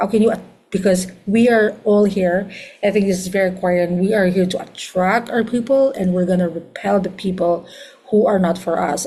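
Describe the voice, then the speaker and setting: Speaking fairly quickly in a medium pitch with a Filipino accent, a woman shows ordinary pitch variation, with audible room echo and noticeable background noise. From Philippines. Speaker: astrologer. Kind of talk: lecture.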